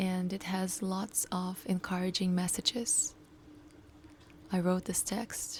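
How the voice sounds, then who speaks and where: Using long, frequent pauses, a woman at a medium pitch talks at a very slow pace. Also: ordinary pitch variation. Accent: non-native. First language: not English. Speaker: coach and startup founder. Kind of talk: personal video diary.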